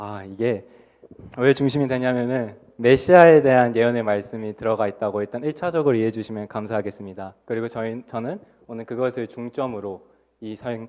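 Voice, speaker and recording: Loudness swings widely as a man speaks at a fairly quick pace. His pitch is medium, with ordinary variation. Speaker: junior pastor preaching. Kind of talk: sermon. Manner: fast.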